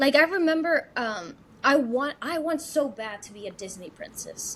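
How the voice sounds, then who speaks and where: A woman's high, animated voice at a moderate pace, with very wide pitch swings and big shifts in loudness. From Mexico City. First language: Spanish. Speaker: actress and singer. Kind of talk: casual interview. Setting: podcast interview.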